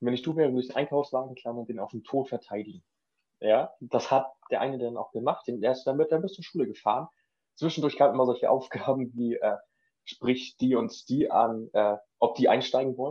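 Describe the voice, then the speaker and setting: At a fairly quick pace, a man with a normal speaking voice speaks at medium pitch with ordinary pitch variation. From northern Germany (Schleswig-Holstein). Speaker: trained cook. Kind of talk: casual chat.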